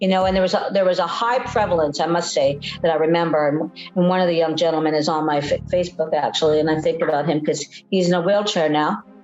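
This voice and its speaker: A woman with a Canadian accent talks at a very fast pace and a fairly low pitch, with fairly even intonation and very even loudness. Noticeable background noise runs under her voice. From British Columbia, Canada. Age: 60s. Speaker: nurse in long-term addiction recovery. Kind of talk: documentary interview testimony. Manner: reflective, hesitant with many fillers.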